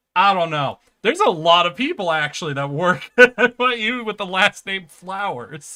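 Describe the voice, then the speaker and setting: A bright, sharp tone marks this raised, projected voice. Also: man. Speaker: streamer. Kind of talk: casual chat. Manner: animated.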